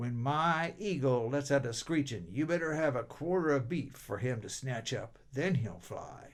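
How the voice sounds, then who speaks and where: In a put-on character voice, a man speaks at a moderate pace and a fairly high pitch with hardly any pauses. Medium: read story. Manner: terse.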